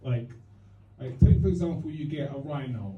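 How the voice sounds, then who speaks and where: A man with a Cockney accent speaks in lively intonation, with audible echo in the room. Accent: East London Cockney. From East London. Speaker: stand-up comedian. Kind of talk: stand-up. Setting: stage with audience. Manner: halting.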